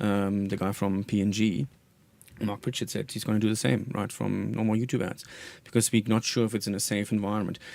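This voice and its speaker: A man with a German accent speaks at a fairly quick pace with a fairly low pitch. His intonation is fairly even, and the recording is very clean with a silent background. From Germany. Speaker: marketing executive. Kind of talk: radio interview. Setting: radio studio.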